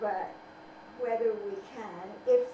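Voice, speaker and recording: A woman's fairly high-pitched voice at a very slow pace with lively intonation, plus audible room echo and noticeable background noise. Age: 80s+. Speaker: civil rights activist and author. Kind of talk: interview.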